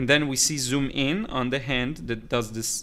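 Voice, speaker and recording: This man speaks with a slight Israeli accent. His tone is bright and sharp. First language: Hebrew. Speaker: watercolor artist and teacher. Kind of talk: live stream chat. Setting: live stream. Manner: halting.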